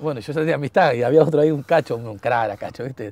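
Recorded with a dry sound and no echo, a man talks with ordinary pitch variation. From Argentina (Buenos Aires area). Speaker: former footballer; talk show guest. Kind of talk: casual chat; interview answer. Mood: cheerful, laughing storytelling. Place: garden. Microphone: lapel.

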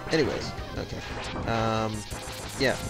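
A fairly slow pace over loud music in the background. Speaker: let's play gamer. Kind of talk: casual game commentary. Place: home room.

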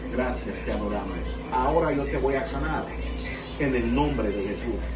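A man's voice at a moderate pace, with clear music in the background. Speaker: preacher praying for healing. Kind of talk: fervent healing prayer. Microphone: camera far.

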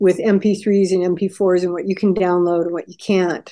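A woman talks at a moderate pace with a dark, mellow tone. The background is quiet. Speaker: interview guest. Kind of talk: interview answer. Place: home room. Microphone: video call.

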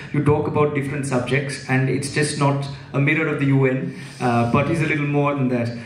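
With audible room echo, a man talks at a very fast pace and keeps a fairly even intonation. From India, Mumbai. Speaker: interviewer. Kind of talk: onstage interview. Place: stage. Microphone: handheld.

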